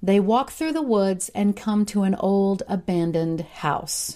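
An American accent is heard. The recording is very clean and the background silent. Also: woman. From US Ozarks, southwest Missouri. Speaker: true crime podcaster. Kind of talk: scripted narration.

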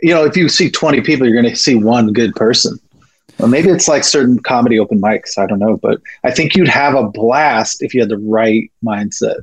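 With an ordinary speaking voice, a man talks at a medium pitch with lively intonation and very even loudness. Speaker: poet and comedian. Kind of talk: casual interview conversation.

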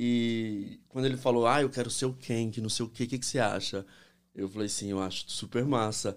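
A man talks at a fairly quick pace and medium pitch with fairly even intonation in a normal speaking voice. The recording is very clean, with a silent background. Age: 40s. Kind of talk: casual chat. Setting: studio.

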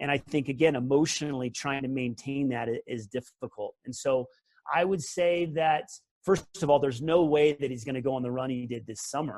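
At a fairly quick pace, a man talks in a plain, everyday voice, fairly high in pitch with ordinary pitch variation. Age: 40s. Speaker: former pro tennis player and coach. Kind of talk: casual chat.

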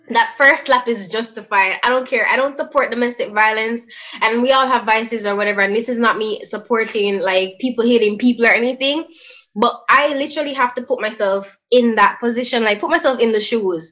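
A woman with a fairly high pitch speaks at a fairly quick pace and ordinary pitch variation, noticeable background noise behind her. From Jamaica. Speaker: podcast co-host. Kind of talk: casual chat.

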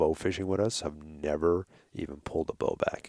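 In a New York accent, a man with a very deep, low voice speaks at a moderate pace, the sound dry and close with no echo. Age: 40s. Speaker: hunting outfitter and podcaster. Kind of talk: casual interview chat. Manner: halting.

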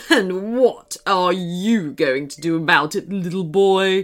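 Using a put-on character voice, a female-sounding voice speaks fairly slowly at a medium pitch. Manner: sneering, mocking.

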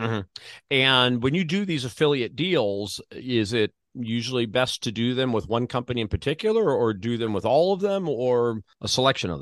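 A man with an American accent and an unremarkable speaking voice, medium in pitch, lively in intonation, at a moderate pace, in a dry, close recording with no echo and a quiet background. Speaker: podcast host. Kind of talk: interview.

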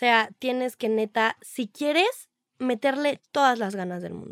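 A woman speaks at a very slow pace and a high pitch, with ordinary pitch variation. The very clean recording has a silent background and a dry, close sound with no echo. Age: young. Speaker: social media influencer. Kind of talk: casual chat.

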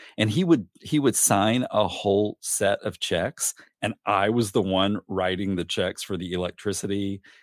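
With a Southern US accent, a man speaks at a fairly low pitch with ordinary pitch variation, captured in a very clean recording with a silent background and a dry, close sound with no echo. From US South, northeast Arkansas. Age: 50s. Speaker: podcast guest telling his adoption story. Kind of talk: interview, personal life story.

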